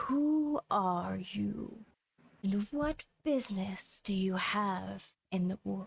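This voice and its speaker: In a put-on character voice, a woman speaks at a medium pitch and a very slow pace. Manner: slow, ponderous.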